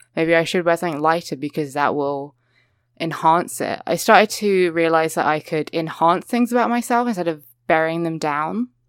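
A woman's fairly low voice with a British accent at a moderate pace. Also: ordinary pitch variation, very clean recording, silent background. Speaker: podcast co-host guest. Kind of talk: casual chat.

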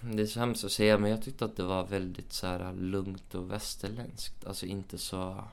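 The man's pitch sits fairly low, and his pace is moderate. Room echo is audible. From Sweden, Uppsala. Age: 20s. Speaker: actor. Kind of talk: casual chat. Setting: hotel room.

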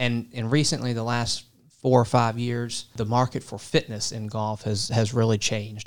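A man of medium pitch talks in a monotone, flat way with an American accent. The recording is very clean, with a silent background. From coastal Virginia (Portsmouth, Norfolk area). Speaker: business school faculty member, golf management. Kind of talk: interview. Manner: halting, repeats words.

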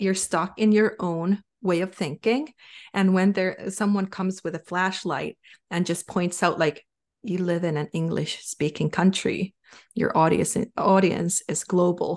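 A woman's medium-pitched voice with a Finnish accent, fairly even intonation and a fairly slow pace, dry and close with no echo, over a quiet background. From Finland. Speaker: sales coach and advisor. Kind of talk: casual interview chat.

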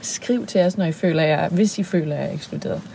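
Noticeable background noise behind a woman's medium-pitched voice, fairly slow, with ordinary pitch variation. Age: 30s. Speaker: podcast co-host, singer and sexologist. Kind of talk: casual chat. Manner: hesitant, many fillers.

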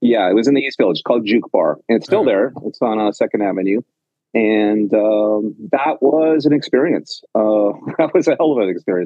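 Here a man with a Canadian accent has a medium pitch. His intonation is lively and his pace fairly quick. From western Canada (Penticton, British Columbia). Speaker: bar owner. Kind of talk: interview. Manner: halting, many fillers and repetitions.

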